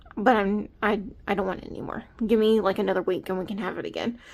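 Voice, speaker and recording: Someone with an American accent talks at a fairly quick pace with fairly even intonation. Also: woman. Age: 20s. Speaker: budgeting YouTuber. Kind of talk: casual vlog talk to camera. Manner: casual with many fillers.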